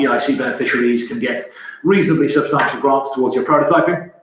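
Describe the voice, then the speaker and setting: With audible room echo, a man speaks at a very fast pace in a fairly high pitch with ordinary pitch variation. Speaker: company representative presenting technology. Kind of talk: webinar presentation. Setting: online webinar. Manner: halting, with fillers and repetitions.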